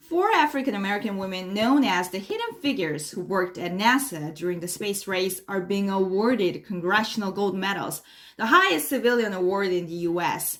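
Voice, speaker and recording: A woman speaks with a Korean accent at a medium pitch and ordinary pitch variation. Her fairly quick delivery has hardly any pauses. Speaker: English learner. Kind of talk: mock news reading. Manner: formal.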